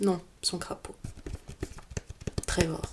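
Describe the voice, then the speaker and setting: Soft-spoken and in a calm, gentle tone, a woman speaks at a very slow pace over noticeable background noise. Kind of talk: ASMR roleplay, soft spoken relaxation. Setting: close-mic studio recording. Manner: soft-spoken, calm, gentle.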